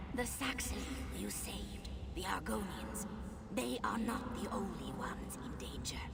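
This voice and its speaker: Someone whispers in a put-on character voice at a fairly slow pace over loud background noise. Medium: machinima. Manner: slow, solemn.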